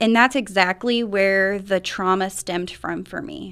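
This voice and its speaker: A woman with an American accent uses a normal speaking voice at medium pitch and a moderate pace, with ordinary pitch variation, on a very clean recording with a silent background. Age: 30s. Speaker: recovery program coordinator. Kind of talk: radio interview. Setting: radio studio.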